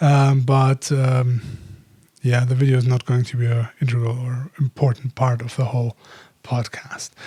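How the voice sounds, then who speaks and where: The speaker has a non-native accent and a monotone, flat intonation. The pace is moderate, and the sound is dry and close with no echo. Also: man, medium pitch for a man. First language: not English. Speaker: podcaster, photographer and filmmaker. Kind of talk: casual solo podcast monologue. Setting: home office by street window. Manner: halting, many fillers.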